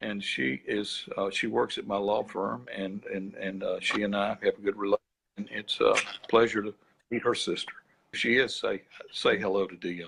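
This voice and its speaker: The speaker is a man with an Alabama accent. He keeps a moderate pace. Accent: Alabama Southern US. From US South, Birmingham, Alabama. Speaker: attorney and author. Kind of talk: interview. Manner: halting.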